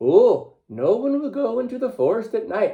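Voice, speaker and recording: Using a put-on character voice, a man speaks at an extremely high pitch. His pace stays moderate. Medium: read story. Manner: stammering when scared.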